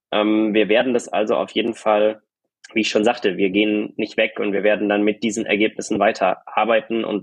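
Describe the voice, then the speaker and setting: A man at a moderate pace, fairly low in pitch. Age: young. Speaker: doctoral law student. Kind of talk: casual chat. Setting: video call.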